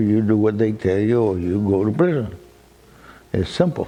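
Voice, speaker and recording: Amid noticeable background noise, a man with a fairly low voice speaks at a moderate pace. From Cuba. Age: 80s+. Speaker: cigar shop owner. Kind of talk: documentary interview. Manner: halting, repeats words.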